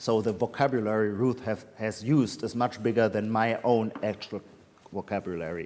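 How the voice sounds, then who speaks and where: In a German accent, the speaker holds a moderate pace with fairly even intonation. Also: man. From Germany, Heidelberg. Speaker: literary critic and author. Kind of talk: Q&A at a reading event. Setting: hybrid event with audience. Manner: halting, many fillers.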